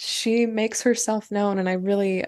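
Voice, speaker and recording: A woman's voice in a monotone, flat intonation. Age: 30s. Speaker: grief author and podcaster. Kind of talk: interview, personal testimony. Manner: halting, many fillers and repeats.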